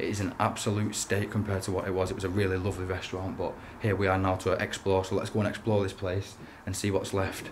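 Very fast, monotone, flat speech from a man with a fairly low pitch, over light background noise. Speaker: urban explorer vlogger. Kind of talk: casual vlog chat. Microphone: phone near.

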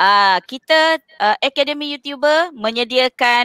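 Over a quiet background, a woman talks at a very slow pace with very wide pitch swings, the sound dry with no echo. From Malaysia. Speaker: schoolteacher and live class moderator; online tuition host. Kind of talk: casual live stream hosting. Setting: studio. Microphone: headset.

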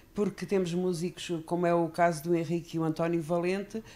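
A woman's fairly low voice with a European Portuguese accent at a moderate pace. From Portugal. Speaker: fado singer. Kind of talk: interview, casual chat. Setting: studio. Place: studio. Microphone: handheld.

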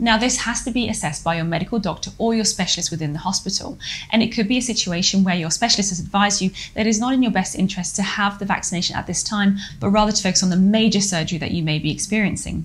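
Ordinary pitch variation at a very fast pace. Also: woman. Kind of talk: explainer lecture. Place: home room.

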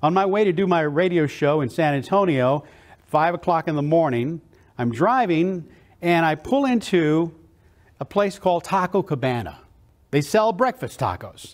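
A man speaks at a moderate pace in a high pitch, his intonation lively and his tone enthusiastic and energetic, against a quiet background. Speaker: motivational keynote speaker. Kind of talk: motivational keynote speech. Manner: enthusiastic, energetic. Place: hall. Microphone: lapel.

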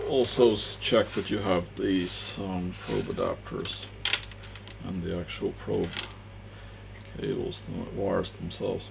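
A man speaks at a fairly slow pace while noticeable background noise goes on. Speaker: electronics reviewer. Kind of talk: tutorial. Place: studio. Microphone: headset.

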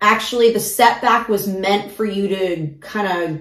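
The pace is fairly slow. Audible room echo surrounds the voice. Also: woman. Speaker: tarot reader. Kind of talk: casual tarot reading talk. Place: home room.

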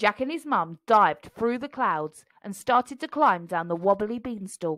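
Here is a woman with a normal speaking voice at a medium pitch. Her intonation is lively. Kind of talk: children's picture book read aloud. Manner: storytelling narration with expressive character voices.

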